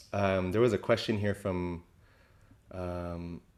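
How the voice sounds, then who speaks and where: A man with a very deep, low voice speaks at a fairly slow pace with fairly even intonation. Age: 40s. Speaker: hula teacher. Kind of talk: reflective talk on video call. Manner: halting, many fillers.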